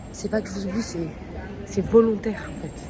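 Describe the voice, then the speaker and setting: Crowd noise fills the background. A woman with a medium pitch talks at a very fast pace. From Paris, France. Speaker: vlogger. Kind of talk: casual vlog talk. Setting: outdoors in the street. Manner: casual, conversational.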